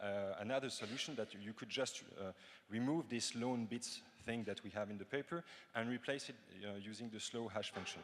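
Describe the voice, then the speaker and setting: A man with a French accent, medium pitch, ordinary pitch variation and a fairly quick pace. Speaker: cryptography researcher. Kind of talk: conference Q&A answers. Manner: halting, many fillers.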